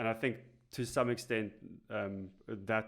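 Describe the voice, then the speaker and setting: Speaking with a South African accent, a man has a fairly low pitch and fairly even intonation. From South Africa, Cape Town. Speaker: instructional designer. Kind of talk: podcast interview. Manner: hesitant, many fillers.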